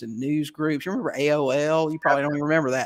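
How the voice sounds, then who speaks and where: Speaking very fast, a man with a fairly high pitch keeps his intonation fairly even on a very clean recording against a silent background. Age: 60s. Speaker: real estate investor. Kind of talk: interview. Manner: halting.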